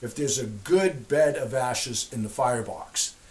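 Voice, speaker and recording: Using lively intonation, a man speaks at a fairly slow pace. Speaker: homesteader demonstrating stove. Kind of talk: tutorial. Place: home room.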